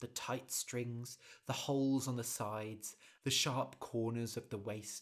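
Here is a man with a British accent. His medium-pitched voice moves at a fairly slow pace. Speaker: podcast host and storyteller. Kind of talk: storytelling narration; casual explanation for English learners. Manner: slow, clear for learners.

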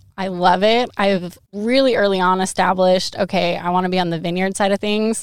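An ordinary speaking voice with an American accent, fairly quick with hardly any pauses and fairly even intonation, in a very clean recording with a silent background. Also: woman, medium pitch for a woman. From Western Washington. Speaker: PhD student in viticulture research. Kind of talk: casual interview.

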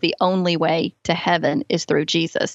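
At a moderate pace, a woman with a Southern US accent talks at a medium pitch. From US South, Alabama. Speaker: author and parenting speaker. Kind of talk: testimony.

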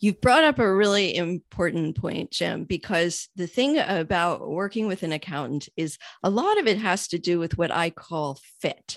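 A woman with an American accent talks at a moderate pace with hardly any pauses, lively intonation and a fairly low pitch. It's a plain, everyday voice over a quiet background. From New York. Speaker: accountant. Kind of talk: interview.

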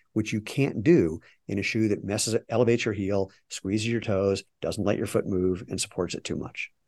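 With a plain, everyday voice, a man speaks at a fairly quick pace with a fairly low pitch and ordinary pitch variation, recorded dry and close with no echo against a quiet background. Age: 60s. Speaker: footwear company CEO and entrepreneur. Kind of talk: interview.

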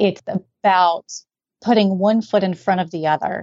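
A woman with an American accent, medium pitch, ordinary pitch variation and a moderate pace, a normal speaking voice. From US South, Raleigh, North Carolina. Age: 40s. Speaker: guest with chronic illness. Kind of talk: testimony.

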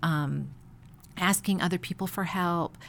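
This woman has an ordinary speaking voice with an American accent and medium pitch. The recording is very clean, with a silent background. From Chicago. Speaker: pastor's wife. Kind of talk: casual interview.

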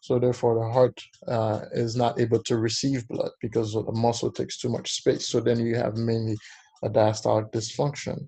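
Somewhat breathy, a man with a dark, mellow tone talks at a medium pitch in a monotone, flat manner. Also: moderate pace. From Haiti. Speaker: cardiologist. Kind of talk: educational interview.

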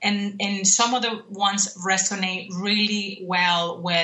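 Over noticeable background noise, a woman talks at a fairly slow pace in a medium pitch. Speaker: program specialist and cultural intelligence speaker. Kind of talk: radio interview. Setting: video call or phone call from abroad.

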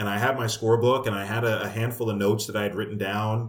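A man's fairly low voice with an American accent, a normal speaking voice, at a fairly quick pace. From New York. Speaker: baseball radio play-by-play announcer. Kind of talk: casual interview.

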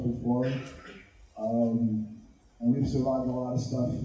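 A man with an American accent speaks at a fairly slow pace and medium pitch, in a monotone, flat way. Noticeable background noise runs behind him. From Southern California. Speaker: community organizer. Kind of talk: panel talk. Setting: live event with audience.

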